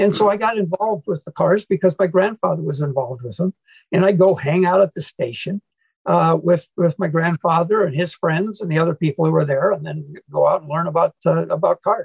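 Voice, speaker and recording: A man with a Midwestern US accent speaks at a fairly quick pace in a high voice. His pitch varies in an ordinary way, and the sound is dry and close with no echo. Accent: US Midwest. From Iowa, US Midwest. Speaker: former car club president, car collector. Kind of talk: podcast interview.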